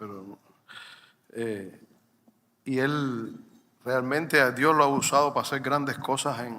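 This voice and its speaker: A man speaks at a medium pitch with a bright, sharp tone. Room echo is audible. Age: 60s. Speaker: pastor. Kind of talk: sermon.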